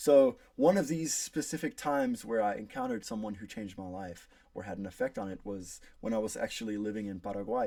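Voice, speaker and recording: A man speaks in an American accent at a fairly quick pace. His loudness swings widely. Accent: pretty American. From South Africa. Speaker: college student. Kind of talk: class speech.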